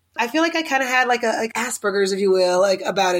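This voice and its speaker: Talking at a very fast pace with an American accent, a woman speaks at medium pitch amid noticeable background noise. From US South, Oklahoma City. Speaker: interior designer and TV personality. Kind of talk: casual interview.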